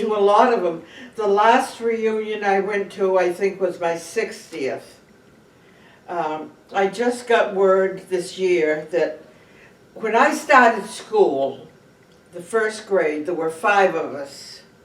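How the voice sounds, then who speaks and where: With a New England accent, a woman speaks at a medium pitch with lively intonation, very slowly and with long, frequent pauses. Background noise is noticeable. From Cape Cod, Massachusetts. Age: 80s+. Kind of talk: interview answer.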